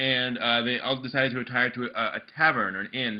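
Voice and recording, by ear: The words are read aloud in a natural voice. Pitch changes only a little throughout.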